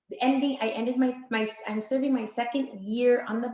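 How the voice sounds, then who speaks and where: A woman with a Vietnamese accent speaks at a moderate pace. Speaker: board member. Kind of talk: self-introduction at online mixer. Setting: video call.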